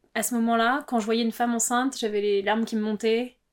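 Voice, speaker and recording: A woman talks at a fairly high pitch. Her intonation is monotone and flat. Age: 30s. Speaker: interviewee sharing personal story. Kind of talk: personal testimony.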